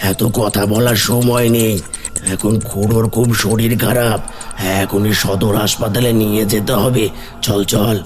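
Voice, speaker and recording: Using a cartoonish character voice at a medium pitch, a man speaks at a fairly slow pace with clear background noise. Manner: insistent, luring.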